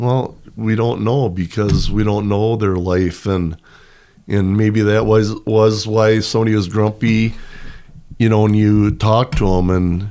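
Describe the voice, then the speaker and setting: Using an ordinary speaking voice, a man talks at a fairly slow pace with a fairly low pitch, fairly even intonation and very even loudness. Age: 60s. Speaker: retired PE teacher and pole vault coach. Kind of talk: casual chat.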